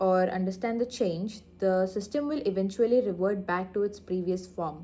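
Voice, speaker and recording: A soft-spoken woman at a fairly slow pace, with ordinary pitch variation. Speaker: vlogger practising speech. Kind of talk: reading aloud. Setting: in her lab. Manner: halting.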